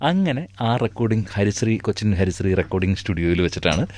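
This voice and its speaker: A man's unremarkable speaking voice, fairly low in pitch, with ordinary pitch variation. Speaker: dubbing artist; mimicry artist. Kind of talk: radio interview answer. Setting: radio studio.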